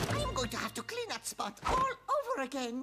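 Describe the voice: Loud background noise surrounds a cartoonish character voice. It moves at a fairly quick pace.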